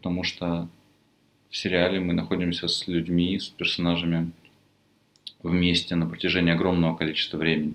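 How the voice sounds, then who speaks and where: The voice is quiet, with monotone, flat intonation at a fairly quick pace. Long, frequent pauses break up the speech. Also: man, very deep, low pitch for a man. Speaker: film lecturer. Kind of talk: lecture.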